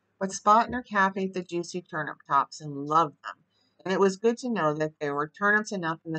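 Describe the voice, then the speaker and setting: A woman's fairly quick speech, bright and sharp in tone, with ordinary pitch variation over a quiet background. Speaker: storyteller reading aloud. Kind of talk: reading a bedtime story aloud. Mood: calm, gentle. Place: home room. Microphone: webcam.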